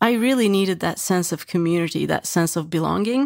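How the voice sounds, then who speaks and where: A woman with a Turkish accent talks at a fairly quick pace in a medium pitch with ordinary pitch variation, on a very clean recording with a silent background. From Turkey. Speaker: employee sharing heritage reflections. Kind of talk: prepared personal statement.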